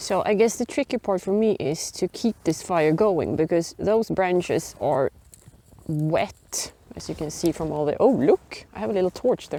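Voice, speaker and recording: Recorded dry and close with no echo, a woman with a Swedish accent talks at a moderate pace in a dark, mellow tone with lively intonation. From Sweden. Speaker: biology and geography teacher, bushcraft hobbyist. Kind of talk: casual talk to camera. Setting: outdoors.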